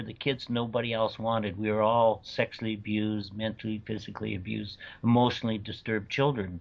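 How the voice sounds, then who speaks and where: The man's voice sits at a medium pitch. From Canada. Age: 60s. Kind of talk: interview testimony. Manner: halting, repeats words.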